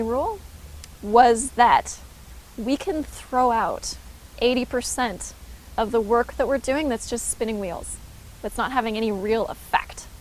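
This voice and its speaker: At a fairly slow pace, a woman with a fairly high pitch speaks with ordinary pitch variation. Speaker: holistic nutritionist and vlogger. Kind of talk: casual vlog talk to camera. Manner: excited, a little frantic at times; calmer and slower in places.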